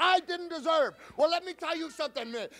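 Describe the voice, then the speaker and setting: A man speaks loudly at an extremely high pitch, with a bright, sharp tone. His pace is fairly quick and his pitch variation is ordinary. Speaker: professional wrestler. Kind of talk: wrestling promo. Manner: loud, aggressive, taunting. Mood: angry, taunting. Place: studio. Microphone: handheld.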